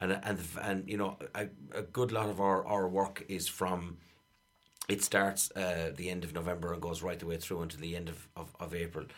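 Monotone and flat, a man with an Irish accent speaks in a very deep, low pitch. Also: moderate pace. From Ireland, County Clare. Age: 40s. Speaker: Irish dancer and choreographer. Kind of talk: radio interview. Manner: halting.

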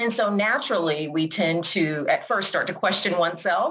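This woman has a plain, everyday voice, fairly low in pitch. She speaks at a moderate pace with an American accent. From Georgia, US South. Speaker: school principal. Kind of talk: podcast interview.

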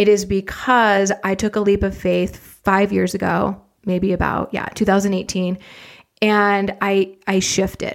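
On a very clean recording with a silent background, a woman speaks at a medium pitch and a fairly slow pace. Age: 40s. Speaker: fitness business coach. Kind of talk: podcast monologue. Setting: home office. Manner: animated. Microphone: big studio mic.

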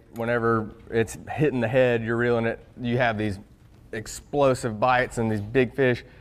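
A man speaks in a normal speaking voice, his intonation fairly even, his pitch medium and his pace moderate. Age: young. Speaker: bass fishing pro. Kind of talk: casual chat.

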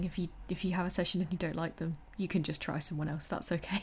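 A woman talks at a fairly quick pace. Her voice is fairly low in pitch and somewhat breathy. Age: 20s. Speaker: podcast host. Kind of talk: casual chat.

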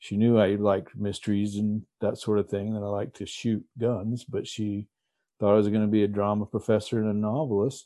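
A man with an American accent talks at a fairly quick pace, his fairly low pitch held in monotone, flat intonation. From Texas. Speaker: retired lawman and crime novelist. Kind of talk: interview.

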